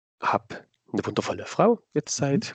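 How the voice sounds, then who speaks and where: This man talks at a fairly slow pace, and the sound is dry and close with no echo. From Saxony, Dresden. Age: 30s. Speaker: cosplayer. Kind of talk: interview answers.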